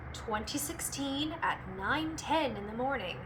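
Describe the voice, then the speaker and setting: There is noticeable noise in the background. The woman talks fairly slowly. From California. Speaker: voice actor. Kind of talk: casual talk to camera. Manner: perky, bubbly.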